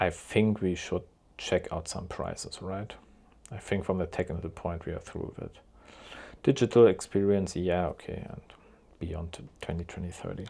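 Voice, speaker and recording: A man with a German accent, very deep and low in pitch, dark and mellow in tone, with fairly even intonation, long, frequent pauses and big swings in loudness. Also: moderate pace, very clean recording, silent background. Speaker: car YouTuber. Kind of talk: live reaction commentary.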